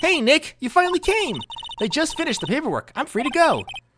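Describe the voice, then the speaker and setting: Put-on character voice with high pitch at a very fast pace. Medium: game stream. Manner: bubbly, chatty.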